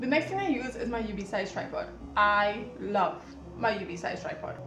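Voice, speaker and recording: Music plays in the background as a woman speaks at a moderate pace. Her voice carries audible room echo. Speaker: sewing content creator. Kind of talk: tutorial.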